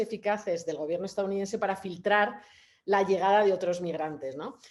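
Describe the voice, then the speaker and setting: A woman talks at a fairly quick pace. Her pitch is medium with ordinary variation. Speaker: photographer. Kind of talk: panel talk. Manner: fast; halting, many fillers.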